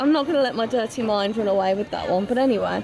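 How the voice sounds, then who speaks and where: A woman speaks with crowd noise in the background. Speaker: vlogger. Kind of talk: casual vlog chat. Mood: amused, suppressing laughter. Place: shop. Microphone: phone near.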